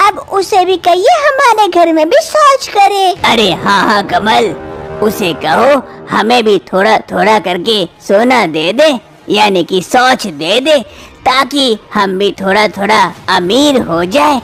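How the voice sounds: A woman's cartoonish character voice with very wide pitch swings and very even loudness, fairly slow, over clear background music. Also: fairly high pitch for a woman.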